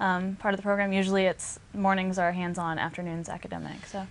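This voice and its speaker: Fairly even in intonation, a woman speaks with a slight Southern US accent. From US South, Arkansas. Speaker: equine industry trainee. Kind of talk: interview.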